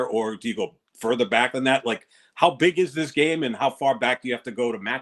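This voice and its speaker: A man's normal speaking voice at medium pitch, fairly quick in pace, with a dry, close sound and no echo. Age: 60s. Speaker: sports podcast co-host. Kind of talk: casual sports talk.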